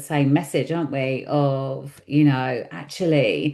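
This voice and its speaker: Over a quiet background, a woman speaks at a very deep, low pitch in a dark, mellow tone. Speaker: podcast host. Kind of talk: casual interview chat.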